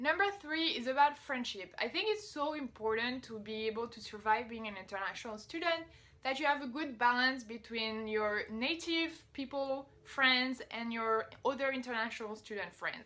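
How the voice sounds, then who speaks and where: Speaking with a French accent, a woman uses a high pitch, a bright, sharp tone and lively intonation at a moderate pace with hardly any pauses. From France. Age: 20s. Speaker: vlogger. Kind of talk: casual advice vlog. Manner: casual, conversational.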